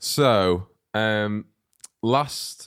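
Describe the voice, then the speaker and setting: Pitched fairly low, a man with an unremarkable speaking voice uses ordinary pitch variation. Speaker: comedy podcast host. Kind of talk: casual comedy banter with role play.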